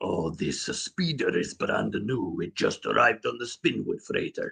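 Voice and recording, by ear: A raspy, put-on character voice from a man, at a moderate pace.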